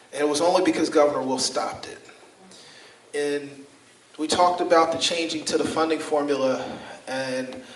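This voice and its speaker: A man with an American accent talks at a moderate pace and fairly high pitch, with fairly even intonation. Long, frequent pauses break up his speech over noticeable background noise. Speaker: state senator, political speaker. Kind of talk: political speech at an event.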